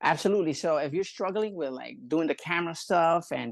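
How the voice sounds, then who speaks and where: In a Spanish accent, a man talks very fast at a high pitch with lively intonation, the sound dry and close with no echo against a quiet background. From Puerto Rico. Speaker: barber and scalp pigmentation artist. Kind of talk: casual interview chat. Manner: halting, many fillers; animated.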